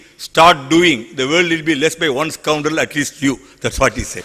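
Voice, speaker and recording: A man talks fairly quickly and at a fairly high pitch, with noticeable background noise behind him. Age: 60s. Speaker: environmental activist. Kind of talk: panel talk with slides. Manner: animated.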